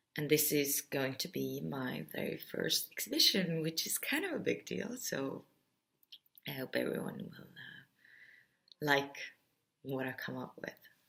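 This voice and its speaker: A woman talks at a fairly slow pace. She speaks with an Estonian accent. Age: 30s. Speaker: artist. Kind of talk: explainer video talk. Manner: bubbly.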